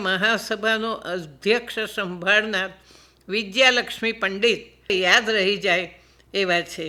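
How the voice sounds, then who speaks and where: In a very clean recording with a silent background, a woman speaks with a bright, sharp tone at a fairly high pitch. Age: 80s+. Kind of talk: radio lecture.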